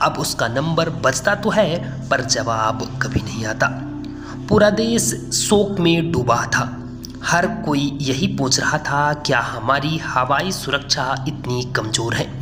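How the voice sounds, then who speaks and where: A man speaks at a fairly high pitch with lively intonation while music plays in the background. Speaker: YouTube narrator. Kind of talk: dramatic news story voiceover narration.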